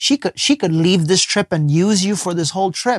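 With an American accent, a man talks at a fairly quick pace in a high pitch and an animated tone, on a very clean recording with a silent background and a dry, close sound with no echo. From US, poor urban neighborhood. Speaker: life coach and spiritual teacher. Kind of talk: casual interview conversation. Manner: animated storytelling.

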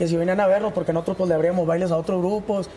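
Monotone, flat intonation runs over noticeable background noise. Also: man. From Chihuahua, northern Mexico. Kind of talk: TV interview.

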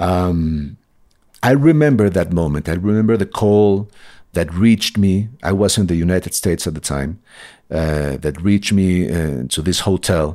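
Heard on a very clean recording with a silent background, a man with a Spanish accent has a very deep, low pitch and a dark, mellow tone. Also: ordinary pitch variation, moderate pace. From Colombia. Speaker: novelist. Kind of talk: interview.

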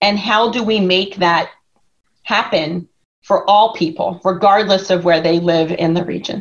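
A woman with an American accent speaks at a medium pitch at a fairly slow pace. It is an ordinary speaking voice. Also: fairly even intonation. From Philadelphia area. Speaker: consulting executive. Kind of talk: interview.

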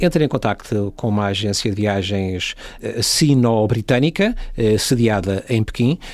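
A man with a plain, everyday voice talks at a fairly slow pace, with a medium pitch and ordinary pitch variation. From Portugal. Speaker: travel industry worker and traveller. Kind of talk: casual interview.

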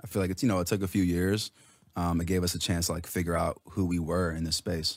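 On a very clean recording with a silent background and a dry, close sound with no echo, a man with an American accent speaks at a very deep, low pitch with fairly even intonation. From Los Angeles, Iranian family. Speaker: musician and producer. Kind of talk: casual radio interview.

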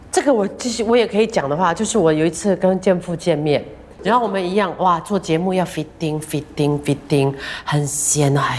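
A woman's fairly low, lively voice at a moderate pace, with noticeable background noise. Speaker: radio host. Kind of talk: casual interview.

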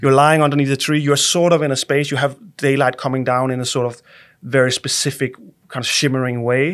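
Delivered in a Danish accent, the speech runs at a fairly quick pace with monotone, flat intonation. The recording is very clean, with a silent background. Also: man, fairly high pitch for a man. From Denmark. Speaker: architect. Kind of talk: interview. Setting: studio. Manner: halting, many repeated words.

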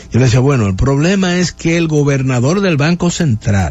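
This man's medium-pitched voice is somewhat breathy, with lively intonation. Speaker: radio host. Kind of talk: radio interview. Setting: studio.

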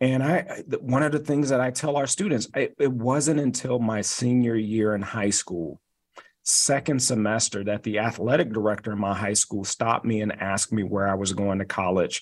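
Speaking at a medium pitch, a man keeps a moderate pace and ordinary pitch variation. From US Midwest, Detroit. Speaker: university chancellor. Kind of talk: radio interview. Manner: halting, with repeated words.

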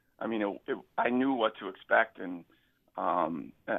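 A man speaks with ordinary pitch variation. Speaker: attorney and former quarterback. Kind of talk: radio interview chat.

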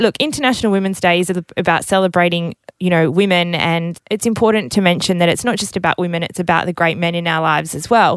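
A woman talks very fast in an Australian accent, with hardly any pauses. Her pitch is fairly low, with ordinary variation. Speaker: radio network executive interviewer. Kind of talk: casual interview.

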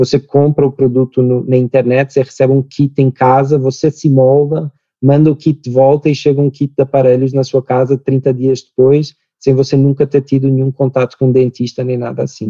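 A man's dark, mellow voice in a European Portuguese accent, flat and monotone, recorded dry and close with no echo. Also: medium pitch for a man, moderate pace. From Portugal. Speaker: startup founder and CEO. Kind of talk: interview.

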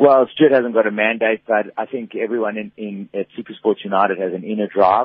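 A man with a fairly low pitch talks at a fairly quick pace with hardly any pauses, using an ordinary speaking voice. His intonation stays fairly even while his loudness swings widely. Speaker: football club CEO. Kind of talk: radio interview. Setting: phone call.

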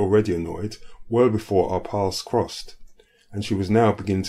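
Intonation stays fairly even through this plain reading aloud.

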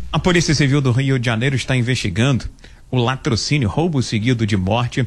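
A man speaks at a fairly quick pace with a medium pitch and ordinary pitch variation. His voice is somewhat breathy. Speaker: radio reporter. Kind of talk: news report.

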